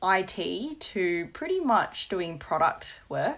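Here is a woman speaking. She has an Australian accent. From Australia, moved from Hong Kong at 5. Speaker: product marketing professional. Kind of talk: casual chat.

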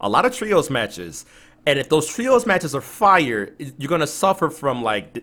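Speaking at a moderate pace, a man has a bright, sharp and animated tone. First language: not English. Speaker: podcast co-host. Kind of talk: casual chat. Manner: animated, excitable.

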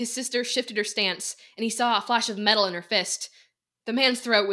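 Someone is reading aloud in a natural voice. The intonation is fairly even, and the background is quiet.

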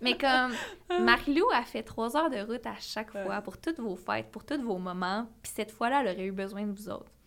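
A fairly high-pitched woman at a fairly quick pace with ordinary pitch variation, over noticeable background noise. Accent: Quebec. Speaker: podcast co-host. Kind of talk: casual chat.

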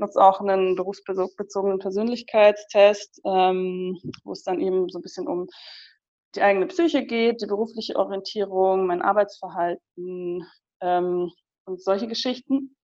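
Speaking at a moderate pace, a woman with a dark, mellow tone and medium pitch uses ordinary pitch variation while her loudness swings widely. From Munich, Bavaria. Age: 20s. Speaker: psychologist and career coach. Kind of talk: casual interview.

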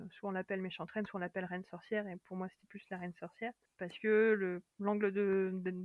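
Speaking at a moderate pace, a woman keeps a flat, monotone intonation. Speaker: librarian and fantasy author. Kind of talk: casual interview chat.

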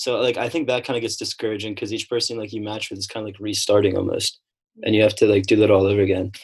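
A man with a fairly low, somewhat breathy voice talks at a very fast pace. His loudness swings widely against a quiet background. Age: 20s. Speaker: college student. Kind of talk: casual chat. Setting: video call.

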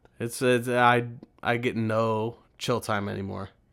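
In a very clean recording with a silent background, a man of medium pitch talks in a flat monotone. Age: 30s. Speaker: podcast co-host, father of two young children. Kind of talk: casual chat.

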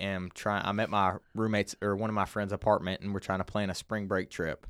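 The delivery is monotone with flat intonation, on a very clean recording with a silent background. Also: man, hardly any pauses, dry, close sound with no echo. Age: 20s. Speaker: former college football player. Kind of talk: testimony.

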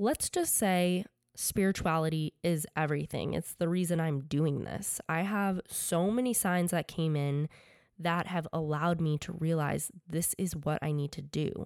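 A woman with an American accent and a plain, everyday voice, fairly low in pitch with fairly even intonation, at a fairly slow pace, in a very clean recording with a silent background and a dry, close sound with no echo. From Connecticut, US. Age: 20s. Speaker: podcast host, fashion designer and student. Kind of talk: podcast monologue.

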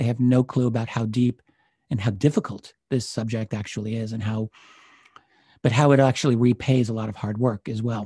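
Speaking fairly quickly at a medium pitch, a man has a dark, mellow, somewhat breathy tone and fairly even intonation, recorded with a dry, close sound and no echo. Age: 50s. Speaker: UFO researcher and historian. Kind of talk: interview conversation.

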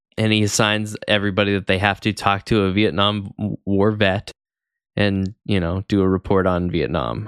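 A plain, everyday voice speaks at a moderate pace with fairly even intonation and very even loudness. The recording is very clean with a silent background, dry and close with no echo. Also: man, fairly low pitch for a man. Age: 30s. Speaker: podcast co-host. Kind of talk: casual chat.

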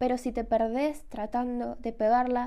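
A woman's high-pitched voice with a dark, mellow tone and an Argentine accent, fairly slow, on a very clean recording with a silent background. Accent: Rioplatense Argentine Spanish. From Argentina, Rosario. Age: 20s. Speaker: podcast host and illustrator. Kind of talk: casual solo podcast monologue.

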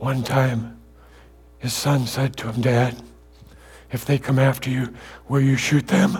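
Long, frequent pauses break up the speech, which has ordinary pitch variation and an American accent. Noticeable background noise sits behind it. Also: man, medium pitch for a man, fairly slow pace. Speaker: guest preacher. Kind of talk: sermon. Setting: church with congregation.

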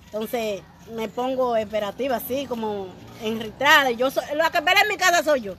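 A woman's high voice at a moderate pace with lively intonation, over noticeable background noise. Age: 50s. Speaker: radio show guest, married woman. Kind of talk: casual chat. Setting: outdoors on the street.

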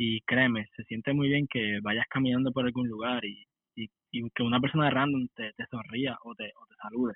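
The speech runs at a moderate pace with a monotone, flat intonation. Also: man, medium pitch for a man. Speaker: podcast co-host. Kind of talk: testimony.

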